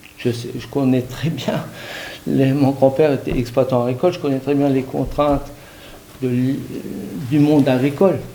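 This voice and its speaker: Noticeable background noise fills the clip. Through it, a man speaks at a fairly slow pace. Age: 60s. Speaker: hunter. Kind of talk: public debate. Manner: hesitant, many fillers.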